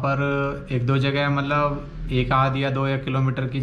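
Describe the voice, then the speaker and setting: There is light noise in the background. The speaker is a man. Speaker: travel vlogger. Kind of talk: casual vlog chat. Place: home room. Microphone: phone near.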